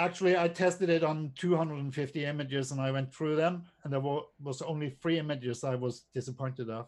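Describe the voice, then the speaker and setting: Talking at a very fast pace with hardly any pauses, a man uses a fairly high pitch. His intonation stays fairly even. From Norway. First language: not English. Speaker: drone photographer and presenter. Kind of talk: casual chat. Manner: halting.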